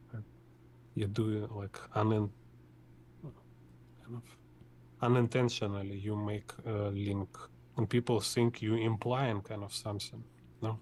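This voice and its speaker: A man with a Russian accent speaks at a fairly slow pace in a somewhat breathy, monotone, flat voice, leaving long, frequent pauses. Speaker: artist teaching drawing. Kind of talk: tutorial. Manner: halting.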